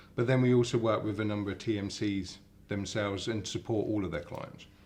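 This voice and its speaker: Fairly low in pitch, a man with an English accent speaks at a fairly quick pace. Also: fairly even intonation. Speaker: company CEO. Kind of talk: interview. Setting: hotel in London. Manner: halting, many repetitions.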